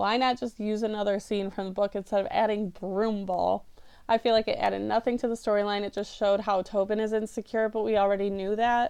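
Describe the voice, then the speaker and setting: A woman with fairly high pitch speaks at a fairly quick pace in a monotone, flat intonation. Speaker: book review vlogger. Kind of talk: casual commentary. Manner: fast.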